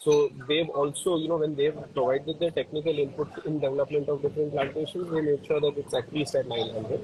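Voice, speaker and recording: A soft-spoken man talks at a very fast pace with an Indian accent. His pitch is fairly high and his intonation fairly even. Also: hardly any pauses. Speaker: co-founder of coffee farming foundation. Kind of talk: live interview. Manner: hesitant, many fillers.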